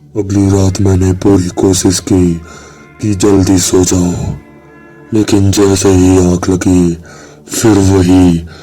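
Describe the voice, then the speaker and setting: A man with a very deep, low pitch speaks in a monotone, flat intonation. Music plays in the background. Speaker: horror story narrator. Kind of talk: horror story narration.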